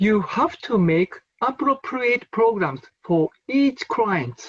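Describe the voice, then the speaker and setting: The speech is very slow, in a Japanese accent. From Japan, Nagano. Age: 50s. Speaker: forest therapy researcher. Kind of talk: conference lecture. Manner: halting, non-native phrasing.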